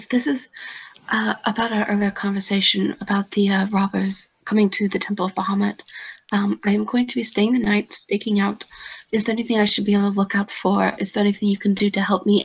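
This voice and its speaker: A female-sounding, raspy put-on character voice of medium pitch moves at a fairly quick pace. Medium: actual play. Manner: polite, formal.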